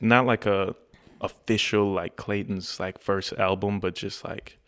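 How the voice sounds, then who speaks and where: A man's fairly low pitch at a fairly slow pace, with monotone, flat intonation. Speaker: R&B singer. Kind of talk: casual chat.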